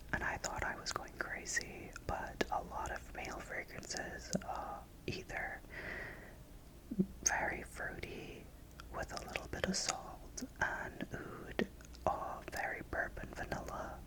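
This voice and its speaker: Whispering at a very slow pace in a gentle tone, a man is heard through noticeable background noise. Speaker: ASMR content creator. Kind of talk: casual talk to camera, fragrance review. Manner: gentle, soft-spoken, whispery.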